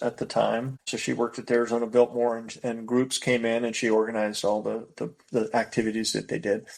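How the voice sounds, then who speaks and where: A man talks at a fairly quick pace with a General American accent. He has an ordinary speaking voice at a medium pitch. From US West Coast (Bay Area, California). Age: 60s. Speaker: race director. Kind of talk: podcast interview. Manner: casual, with frequent repetitions and fillers.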